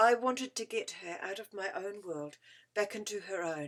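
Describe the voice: Someone is reading aloud plainly. It is plain reading aloud.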